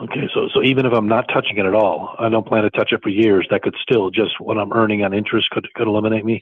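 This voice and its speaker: A man speaks at a very fast pace with hardly any pauses. His intonation is monotone and flat, his loudness very even. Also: medium pitch for a man. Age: 60s. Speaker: prospective tenant asking questions. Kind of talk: question at information session. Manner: halting.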